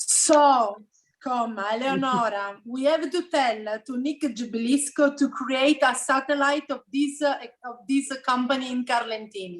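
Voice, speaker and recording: In a Sicilian accent, the speaker goes at a fairly slow pace with ordinary pitch variation. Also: woman, high pitch for a woman. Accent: Italian (Sicilian) accent in English. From Sicily, Italy. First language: Italian. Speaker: interpreter and co-host of a genealogy group. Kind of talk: casual group meeting with live interpreting.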